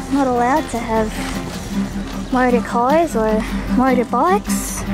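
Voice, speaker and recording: Clear music plays in the background as a woman talks at a moderate pace, the sound dry with no echo. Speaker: travel vlogger filming. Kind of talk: casual vlog chat. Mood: cheerful, relaxed. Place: street. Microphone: phone near.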